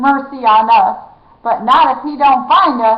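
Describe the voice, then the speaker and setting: Using a put-on character voice, a woman cackles in a high, raised, projected voice. She speaks at a moderate pace with ordinary pitch variation. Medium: read story. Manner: cackling.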